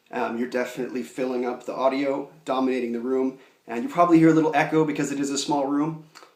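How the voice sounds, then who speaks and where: In a room with audible echo, a man talks at a very fast pace and medium pitch. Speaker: video instructor. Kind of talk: tutorial. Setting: small room at home. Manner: loud. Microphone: echo in small room.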